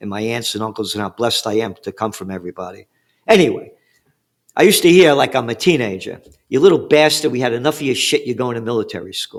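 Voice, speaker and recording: A man with a New York accent talks at a very fast pace, his pitch medium and his intonation lively. His loudness swings widely, and the recording is very clean with a silent background. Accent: New York (Bronx). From New York City, the Bronx. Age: 70s. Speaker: trend forecaster. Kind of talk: interview. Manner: animated.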